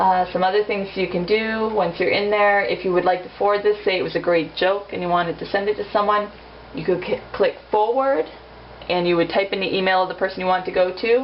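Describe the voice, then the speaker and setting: Over noticeable background noise, a woman talks fairly quickly at medium pitch with fairly even intonation. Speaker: amateur tutorial maker. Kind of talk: tutorial. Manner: fast; casual, informal.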